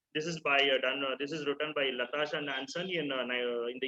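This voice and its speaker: A man talks fairly quickly, his fairly high voice held to fairly even intonation. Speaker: lecturer presenting to clinicians. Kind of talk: online lecture. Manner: fast; hesitant, many fillers.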